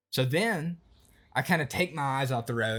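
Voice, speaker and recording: Someone speaks with an Appalachian accent on a very clean recording with a silent background. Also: man. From Appalachian Virginia. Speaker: YouTuber. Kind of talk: story time. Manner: casual, animated.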